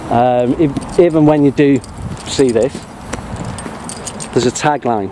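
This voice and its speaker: Noticeable noise fills the background. Words come out at a fairly slow pace. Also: man, medium pitch for a man, ordinary pitch variation, very even loudness. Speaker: police auditor, YouTuber. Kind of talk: confrontational street conversation with police. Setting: outdoors at police headquarters. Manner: formal, articulate.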